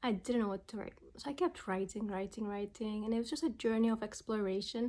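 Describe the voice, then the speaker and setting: Speaking at a fairly quick pace with a non-native accent, a woman uses a fairly high pitch with ordinary pitch variation. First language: not English. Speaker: memoir writer and vlogger. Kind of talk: personal vlog monologue. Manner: casual, halting with fillers and restarts.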